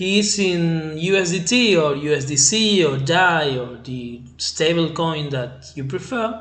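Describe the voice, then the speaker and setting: Lively intonation at a very slow pace, in an Argentine accent. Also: man. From Argentina. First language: Spanish. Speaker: crypto trading channel host. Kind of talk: tutorial. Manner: halting, with many fillers. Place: home room. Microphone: webcam.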